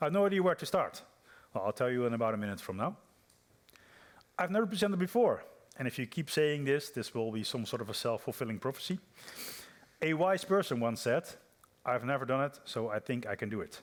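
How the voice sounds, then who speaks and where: A man with a Dutch accent at a very fast pace and fairly high pitch, with very wide pitch swings and long, frequent pauses. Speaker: software developer, conference speaker. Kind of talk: conference talk. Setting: stage with audience. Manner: hesitant, many fillers and repeats.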